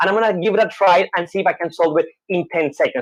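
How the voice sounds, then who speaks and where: This woman speaks with a Colombian accent. Her pace is fairly quick. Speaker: show host doing a Rubik's cube trick. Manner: fast talker.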